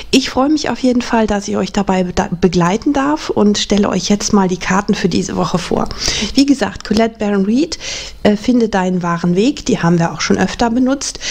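Ordinary pitch variation from a woman at a moderate pace. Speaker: tarot reader. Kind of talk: casual presentation to viewers. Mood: warm, calm.

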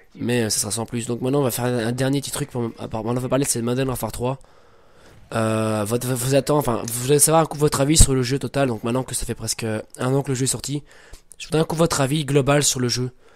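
This man's pitch is medium. He speaks at a very fast pace. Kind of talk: casual gameplay commentary.

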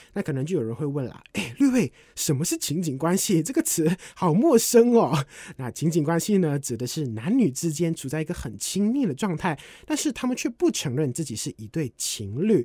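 A man speaks at a moderate pace in a fairly high pitch with very wide swings, his tone upbeat and cheerful yet dark and mellow. The recording is very clean, with a silent background. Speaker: radio DJ trainee. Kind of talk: practice radio hosting segment. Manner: upbeat, cheerful.

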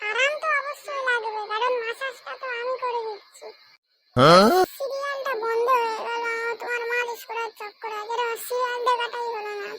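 In a squeaky, cartoonish character voice pitched extremely high, the speaker talks at a moderate pace. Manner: scolding, exasperated.

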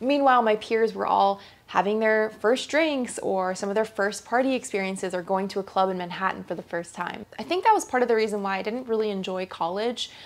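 A woman's fairly high-pitched voice in an American accent, fairly quick with hardly any pauses and ordinary pitch variation. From US (New York/New Jersey), then Asia. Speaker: lifestyle YouTuber. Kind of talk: personal testimony to camera. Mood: reflective, candid. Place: home room.

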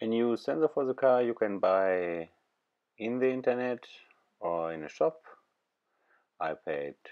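Over a quiet background, a man with a non-native accent speaks at a fairly slow pace, his pitch swinging very widely. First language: not English. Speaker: DIY car repairer. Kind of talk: DIY car repair tutorial. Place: car.

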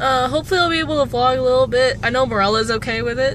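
The sound is dry with no echo, but noticeable background noise comes through. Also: woman. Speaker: vlogger. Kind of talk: casual vlog chat. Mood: excited, chatty. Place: car. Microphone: phone near.

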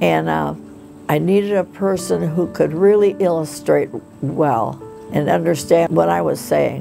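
With clear music behind her, a woman talks fairly slowly. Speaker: aspiring children's book author. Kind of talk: documentary interview answer. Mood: warm, reflective storytelling. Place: home room.

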